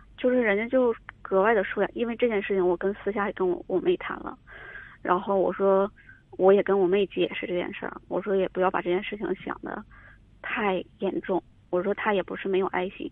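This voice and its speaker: A woman's ordinary speaking voice at medium pitch, fairly quick in pace, with ordinary pitch variation. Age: 30s. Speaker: caller seeking advice. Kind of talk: call-in advice conversation. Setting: phone call.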